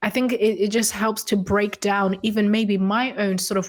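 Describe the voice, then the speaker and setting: A woman's medium-pitched voice holds fairly even intonation on a very clean recording with a silent background. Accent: Zimbabwean. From Zimbabwe. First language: Shona. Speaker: consultant, writer and coach. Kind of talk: casual interview conversation.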